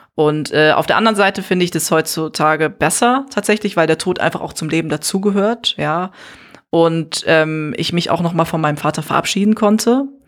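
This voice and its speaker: The speaker has a plain, everyday voice. The pace is fairly quick, with ordinary pitch variation. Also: woman, fairly low pitch for a woman. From Neuss, Rhineland, Germany. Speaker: artist and podcaster. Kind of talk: casual interview. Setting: hotel room.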